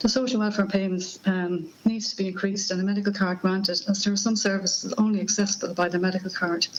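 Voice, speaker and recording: A woman with an Irish accent rattles along at a very fast pace in a medium pitch, flat and monotone, with hardly any pauses and noticeable background noise. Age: 50s. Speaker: person living with Parkinson's giving evidence to a parliamentary committee. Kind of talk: prepared opening statement. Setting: parliamentary committee hearing. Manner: halting, with stumbles and restarts.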